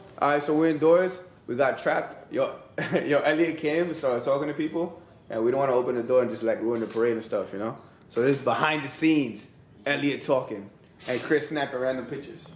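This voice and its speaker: The speech comes at a very fast pace with ordinary pitch variation, audible room echo and light background noise. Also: man. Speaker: vlogger. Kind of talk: casual vlog chat. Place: home room. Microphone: phone near.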